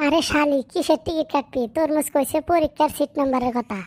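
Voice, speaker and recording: In a cartoonish character voice, a woman speaks with a high pitch, ordinary pitch variation and very even loudness. Her pace is moderate. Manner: blunt, scolding.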